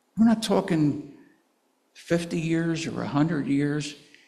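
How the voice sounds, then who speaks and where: A man's fairly high, somewhat breathy voice with a dark, mellow tone, ordinary pitch variation and audible room echo. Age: 80s+. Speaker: pastor. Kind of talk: sermon.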